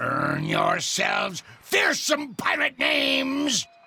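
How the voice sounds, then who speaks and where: A man performs in a put-on character voice with a theatrical tone. He speaks at a very slow pace. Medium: video game. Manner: gruff, theatrical pirate talk.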